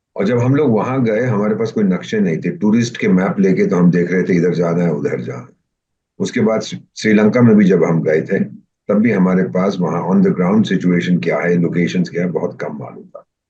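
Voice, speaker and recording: Speaking at a moderate pace, a man has a fairly low pitch, a dark, mellow tone and ordinary pitch variation. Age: 70s. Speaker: retired diplomat. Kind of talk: interview. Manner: animated.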